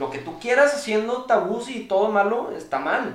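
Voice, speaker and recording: A man speaks with a Mexican accent. Room echo is audible. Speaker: streamer. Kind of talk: casual chat.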